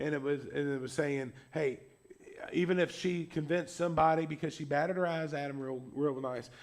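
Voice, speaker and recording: Through audible room echo, a man talks at a fairly quick pace in a fairly high pitch with fairly even intonation. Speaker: pastor. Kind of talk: sermon. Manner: loud.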